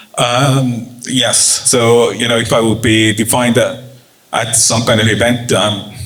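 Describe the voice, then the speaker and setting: A man's monotone, flat voice at very even loudness, with audible room echo and noticeable background noise. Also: medium pitch for a man, fairly slow pace. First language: Estonian. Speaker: journalist and startup communications professional. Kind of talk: panel discussion. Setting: office event with audience. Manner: halting.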